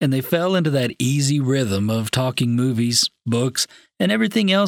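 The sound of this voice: The speaker uses an unforced reading voice with lively intonation. The background is quiet.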